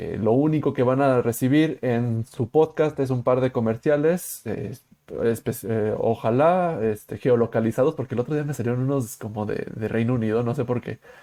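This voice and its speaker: With a Mexican accent, a man talks at a medium pitch in a dark, mellow tone, using ordinary pitch variation and hardly any pauses against a quiet background. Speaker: podcast host. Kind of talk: casual chat. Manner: fast.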